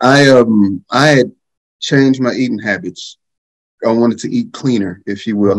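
Against a quiet background, a man talks at a moderate pace with ordinary pitch variation. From North Texas, Wichita Falls; Texas. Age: 40s. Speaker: father, panelist; panelist. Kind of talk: panel discussion. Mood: reflective, earnest. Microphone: webcam.

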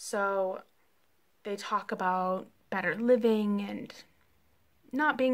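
The pace is slow. Pitch rises and falls in an ordinary way. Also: woman.

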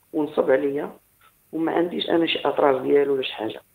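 A man is speaking. The background is quiet. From Morocco, Agadir; Morocco. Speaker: caller. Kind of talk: phone-in story. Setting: phone call. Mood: calm, reflective. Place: home room.

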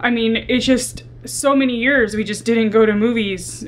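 A woman's voice with fairly even intonation over light background noise. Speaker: vlogger. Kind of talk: casual vlog chat. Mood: candid, reflective. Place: home room.

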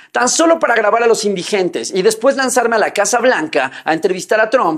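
Against a quiet background, a man speaks at a fairly quick pace with lively intonation. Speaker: online commentator. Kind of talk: commentary. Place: home room.

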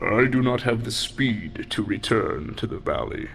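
A man performs a rumbling, put-on character voice at a moderate pace. Clear background noise runs underneath. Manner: stern, grave.

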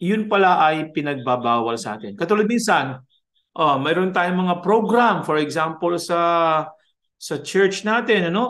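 Against a quiet background, a man talks at a fairly slow pace with a high pitch and lively intonation. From Philippines. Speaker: music professor. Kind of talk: lecture. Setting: video call. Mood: warm, conversational teaching. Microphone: webcam.

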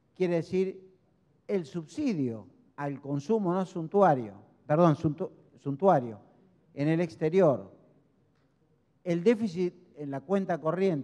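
Pausing long and often, a man with a high pitch and a dark, mellow tone speaks at a very slow pace against a quiet background. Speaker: speaker. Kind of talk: lecture. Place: hall. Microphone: handheld.

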